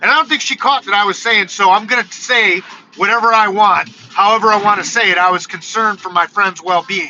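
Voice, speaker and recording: A loud, high-pitched man's voice with an American accent, ordinary pitch variation and a fairly quick pace, over noticeable background noise. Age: 40s. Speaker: YouTube content creator. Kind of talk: live stream casual monologue.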